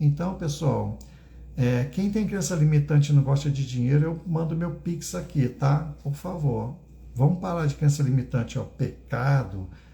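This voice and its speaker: A fairly high-pitched man's voice, somewhat breathy, with a dark, mellow tone. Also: ordinary pitch variation, fairly slow pace. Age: 60s. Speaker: spiritual teacher. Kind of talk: live stream talk. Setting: livestream.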